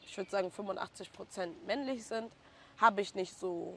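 A normal speaking voice at a moderate pace with fairly even intonation. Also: woman. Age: 20s. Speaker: hairstylist. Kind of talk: casual interview.

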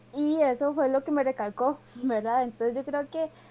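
A woman's high-pitched voice at a moderate pace. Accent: Costa Rican. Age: 20s. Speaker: leadership coach. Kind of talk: casual interview.

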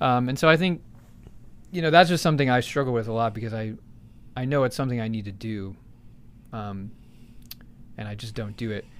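Speaking at a fairly quick clip with an American accent, this voice breaks up its delivery with long, frequent pauses, uses ordinary pitch variation, and swings widely in loudness. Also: man, medium pitch for a man. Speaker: podcast host. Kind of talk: casual chat. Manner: joking, laid-back.

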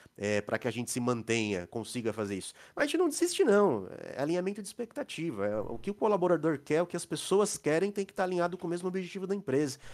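A man with a high voice talks at a very fast clip, his pitch swinging very widely. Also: very clean recording, silent background. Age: 40s. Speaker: IT consulting company co-owner. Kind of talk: casual interview.

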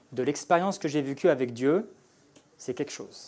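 A man speaks in a dark, mellow tone at a fairly high pitch. His pitch varies in an ordinary way, and his pace is fairly slow. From France. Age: 30s. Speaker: former fighter pilot. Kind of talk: testimony. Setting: church.

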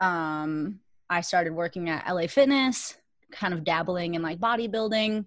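In an American accent, a woman with a plain, everyday voice speaks at a moderate pace, her pitch fairly low with ordinary variation, on a very clean recording against a silent background. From Minnesota, Richfield. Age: 30s. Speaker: competitive weightlifter. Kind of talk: interview.

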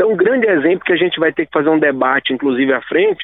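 A man's high-pitched voice with lively intonation. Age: 30s. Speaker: state government secretary. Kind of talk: radio interview.

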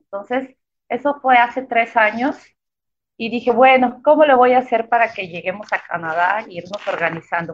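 A woman with a normal speaking voice, fairly high pitch, moderate pace and lively intonation. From Mexico, Chiapas (Tuxtla Gutiérrez). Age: 30s. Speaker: architect and cycling traveler. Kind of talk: interview. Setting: live online broadcast.

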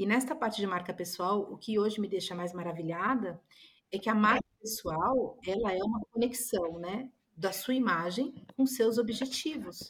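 A woman with a medium pitch talks in an ordinary speaking voice at a moderate pace, with ordinary pitch variation. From Brazil. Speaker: image consultant. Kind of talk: podcast interview.

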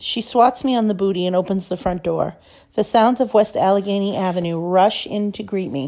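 Simply plain reading aloud.

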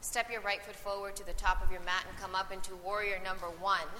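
With a calm, gentle tone and fairly even intonation, the voice comes through over noticeable background noise. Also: woman. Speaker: yoga teacher. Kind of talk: live guided yoga class instruction, cueing poses and breath. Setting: recorded live class with students in the room. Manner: calm, encouraging directives with gentle praise between cues.

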